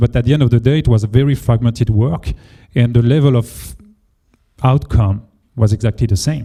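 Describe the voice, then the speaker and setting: The speaker has a French accent and a dark, mellow tone that is somewhat breathy. Pitch variation is ordinary. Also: man. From France. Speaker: engineering leader. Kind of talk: panel discussion. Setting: meetup with audience.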